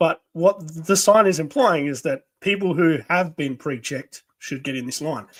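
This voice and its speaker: In an Australian accent, a speaker with lively intonation comes through with a dry, close sound and no echo. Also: man. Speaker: podcast co-host. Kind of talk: casual chat. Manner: halting.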